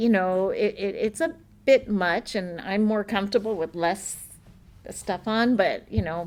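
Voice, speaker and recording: Speaking very slowly, a woman talks at medium pitch. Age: 60s. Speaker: martial arts grandmaster and fighter. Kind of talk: casual chat.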